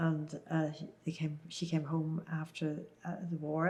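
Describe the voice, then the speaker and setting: This woman speaks in a Northern Irish accent at a fairly slow pace, her pitch fairly low and her intonation flat and monotone. Her tone is dark and mellow, and somewhat breathy. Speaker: Second World War oral history witness. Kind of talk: interview answer. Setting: oral history interview.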